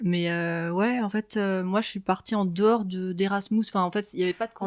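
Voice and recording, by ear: A woman with a German accent, medium in pitch, at a moderate pace, with fairly even intonation. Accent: German-tinged French.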